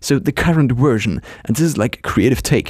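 With a non-native accent, a man of medium pitch talks at a fairly quick pace with lively intonation and vocal fry. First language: not English. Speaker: solo podcaster and blogger. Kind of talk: casual solo monologue. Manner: hesitant, with fillers and restarts.

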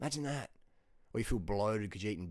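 A man with a fairly low voice speaks very fast in an animated, confident tone, on a very clean recording with a silent background. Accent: Australian. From Australia. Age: 40s. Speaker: fitness and diet YouTuber and coach. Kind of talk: casual monologue to camera, video blog. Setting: video recording, self-filmed. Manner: animated, casual, confident.

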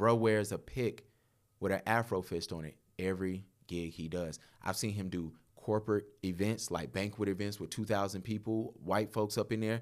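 A man's unremarkable speaking voice, fairly low in pitch, with ordinary pitch variation at a moderate pace. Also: very clean recording, silent background. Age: 30s. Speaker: photographer. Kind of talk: casual chat.

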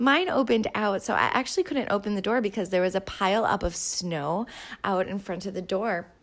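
In an Upper Midwest accent, a woman talks at a fairly quick pace. Her pitch sits in the medium range and varies in an ordinary way. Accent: Upper Midwest American. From southern Minnesota. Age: 30s. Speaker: yoga instructor and podcast host. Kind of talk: casual solo monologue.

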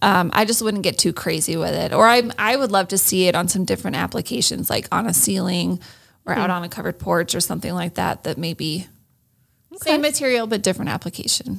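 A woman speaks with a US Midwestern accent. Her pace is very fast. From Iowa, US Midwest. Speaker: interior design manager. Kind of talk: interview. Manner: hesitant, frequent fillers.

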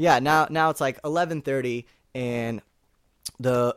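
A man speaks with a Californian accent. The recording is very clean with a silent background and a dry, close sound with no echo. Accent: General American (California). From Northern California. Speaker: actor. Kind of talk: casual chat.

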